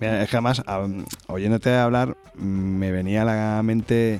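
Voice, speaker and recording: A man's fairly low voice with ordinary pitch variation, set against noticeable background noise. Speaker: podcast host. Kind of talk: interview. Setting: recording from home.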